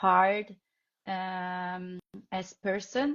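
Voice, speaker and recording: A woman speaks with an Italian accent at a medium pitch, her intonation flat and monotone. The background is quiet. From Italy, Rome. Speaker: ballet dancer and dance teacher. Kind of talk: interview. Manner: halting.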